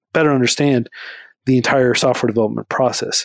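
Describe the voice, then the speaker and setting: Here is an ordinary speaking voice at a fairly quick pace. The recording is very clean with a silent background, and the sound is dry and close with no echo. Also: man. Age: 30s. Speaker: nonprofit founder. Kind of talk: interview.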